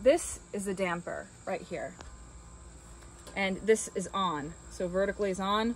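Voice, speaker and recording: A woman speaks at a fairly slow pace in a dry sound with no echo, with light background noise. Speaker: rental host. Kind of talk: tutorial. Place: garden. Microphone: phone near.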